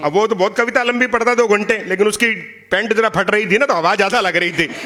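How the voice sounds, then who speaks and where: Against noticeable background noise, a man with a Punjabi accent and a high pitch uses a raised, projected voice in an animated tone, with very even loudness and ordinary pitch variation. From Punjab, India. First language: Punjabi (speaking Hindi). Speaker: poet. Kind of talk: stage talk at a poetry event. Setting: stage with audience.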